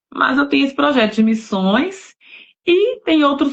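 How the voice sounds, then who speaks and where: Her pitch swings very widely as the woman keeps to a moderate pace. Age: 40s. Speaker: novelist, missionary. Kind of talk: casual chat. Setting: live stream.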